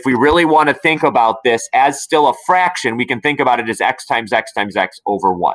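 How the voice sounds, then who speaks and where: A man talks in a plain, everyday voice. His intonation is lively and his pace fairly quick. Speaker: math teacher. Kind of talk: tutorial.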